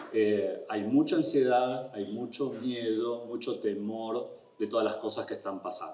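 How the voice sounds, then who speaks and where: A man with an Argentine accent speaks at a fairly slow pace. He leaves hardly any pauses, and there is noticeable background noise. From Argentina. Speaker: immigration lawyer. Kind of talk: educational talk. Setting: event room with audience.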